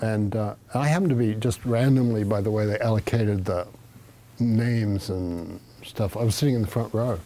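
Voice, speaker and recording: With an American accent, a man speaks at a moderate pace in a fairly low voice, dark and mellow in tone, with ordinary pitch variation. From Australia. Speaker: Zen teacher. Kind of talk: dharma talk. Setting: meditation hall with audience. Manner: casual, halting with fillers. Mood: calm, reflective, warm. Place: home room. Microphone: lapel.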